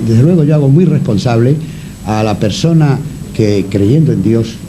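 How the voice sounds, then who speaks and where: Noticeable background noise sits behind a man speaking at medium pitch. His intonation is lively and his pace very slow. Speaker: radio broadcaster. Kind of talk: radio interview answer.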